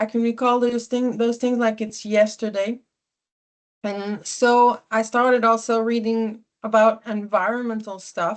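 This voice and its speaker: In a Quebec accent, the speaker talks at a fairly slow pace with monotone, flat intonation over a quiet background. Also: woman, fairly high pitch for a woman. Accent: Québécois French accent in English. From Quebec (Sherbrooke). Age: 40s. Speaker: environmentalist speaker. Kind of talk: personal talk to small audience. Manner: halting, many fillers.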